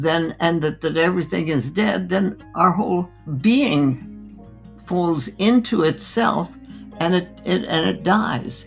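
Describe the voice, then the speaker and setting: A woman's fairly low voice with very wide pitch swings, a very slow pace and music in the background. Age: 80s+. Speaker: physician. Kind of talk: interview answer.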